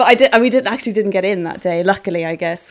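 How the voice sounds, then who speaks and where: In a Welsh accent, a woman speaks on a very clean recording with a silent background. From Wales. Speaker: photographer. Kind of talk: interview.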